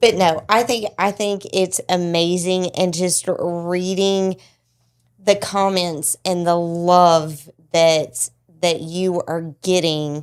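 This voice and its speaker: A woman with a strong Southern US accent speaks very slowly. Her pitch is fairly low and her intonation fairly even. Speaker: podcast host. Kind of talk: casual chat.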